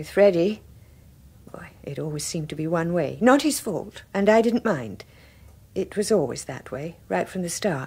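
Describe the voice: A woman's put-on character voice, fairly low in pitch, with a husky, rough edge, a dark, mellow tone and lively intonation. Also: fairly slow pace.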